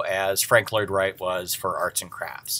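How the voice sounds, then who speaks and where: A man with a Midwestern American accent. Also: very clean recording, silent background. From US Midwest. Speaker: design history teacher. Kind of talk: lecture. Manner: halting, many fillers.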